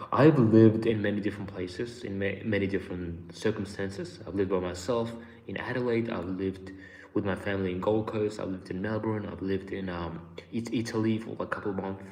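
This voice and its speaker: Talking at a very fast pace with fairly even intonation and a slight Australian accent, the speaker is heard with audible room echo. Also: man, fairly low pitch for a man. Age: 20s. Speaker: YouTuber. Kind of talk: live stream chat. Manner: casual.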